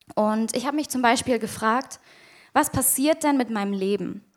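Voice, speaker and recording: A woman speaks at a fairly high pitch with ordinary pitch variation. Her pace is moderate. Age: 20s. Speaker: youth leader giving a sermon. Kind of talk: sermon.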